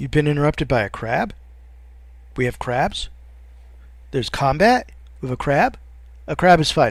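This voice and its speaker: A man speaks at a moderate pace with long, frequent pauses. The recording is very clean, with a silent background. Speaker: let's play gamer. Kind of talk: gameplay commentary. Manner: mumbling; halting.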